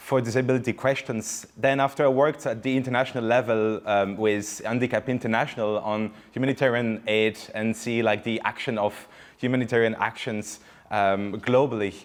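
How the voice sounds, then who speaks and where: A man's medium-pitched voice with a French accent, at a fairly quick pace with fairly even intonation. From France. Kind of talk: panel talk. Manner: halting.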